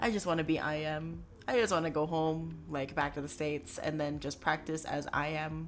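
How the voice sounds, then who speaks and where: A woman with an American accent, very deep and low in pitch, at a moderate pace with hardly any pauses and fairly even intonation. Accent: American, noted by chat. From born in US, Filipino family, studying in Philippines. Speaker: medical student streamer. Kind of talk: casual chat.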